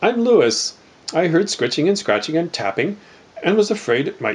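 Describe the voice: Lively intonation in plain reading aloud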